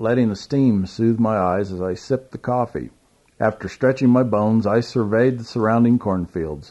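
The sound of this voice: Someone reads aloud in an unstrained way, with pitch that shifts about as much as usual.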